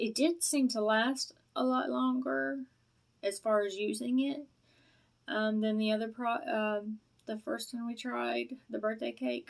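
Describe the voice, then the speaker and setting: A woman speaks fairly slowly in a Southern US accent. Her fairly high voice has very wide pitch swings. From US South. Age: middle-aged. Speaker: product reviewer vlogger. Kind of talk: casual vlog review. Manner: rambling, hesitant with many fillers.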